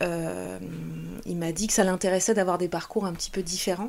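This woman's tone is dark and mellow. She keeps to a moderate pace. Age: 40s. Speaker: wine merchant and sommelier. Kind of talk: interview conversation.

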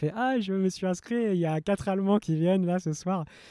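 Very clean recording, silent background, and a dark, mellow tone showing ordinary pitch variation. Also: man. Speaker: professional poker player and traveller. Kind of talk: casual interview. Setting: outdoors in a bar garden.

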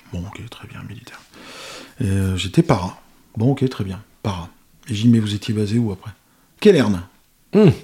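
Fairly slow, somewhat breathy speech from a man with a fairly low pitch, ordinary pitch variation, and long, frequent pauses. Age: 50s. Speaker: watch collector, business owner. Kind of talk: casual chat.

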